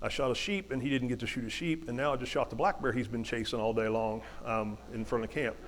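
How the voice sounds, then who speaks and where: Here a man talks with an Appalachian accent. His pace is fairly quick. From West Virginia. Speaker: hunter and motivational speaker. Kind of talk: storytelling talk. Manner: halting, many repetitions.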